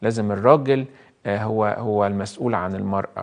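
A man speaks with an Egyptian accent and a warm tone. The background is quiet. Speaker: priest. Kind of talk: live call-in sermon. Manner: warm, conversational. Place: studio. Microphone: lapel.

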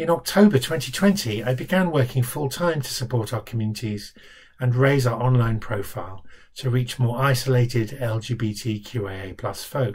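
Somewhat breathy, a man of medium pitch talks at a fairly slow pace with ordinary pitch variation. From London. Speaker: charity director. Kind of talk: scripted self-introduction. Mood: warm, calm, steady. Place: home room. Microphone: webcam.

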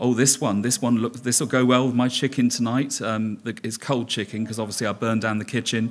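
The speech runs on with hardly any pauses in a monotone, flat intonation. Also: man, fairly quick pace. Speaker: conference presenter. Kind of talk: conference talk. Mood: humorous storytelling. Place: hall. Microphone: podium.

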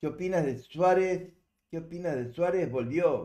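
A man's fairly high voice with a Uruguayan accent, unhurried at a fairly slow pace over a quiet background. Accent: Uruguayan Spanish (rioplatense). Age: 70s. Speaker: livestreamer. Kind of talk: casual chat. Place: home room.

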